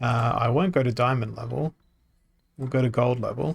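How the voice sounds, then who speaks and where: With an Australian accent, a man speaks at a medium pitch and a moderate pace. His voice is somewhat breathy, his tone relaxed. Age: 30s. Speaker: video game streamer. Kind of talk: gameplay livestream commentary. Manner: relaxed, hesitant with many fillers.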